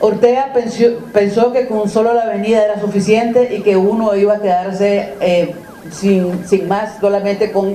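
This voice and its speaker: Light background noise and audible room echo surround a woman speaking at a moderate pace with ordinary pitch variation. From Nicaragua. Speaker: activist; civic group spokesperson. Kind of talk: interview. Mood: critical, earnest. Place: meeting room. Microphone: handheld.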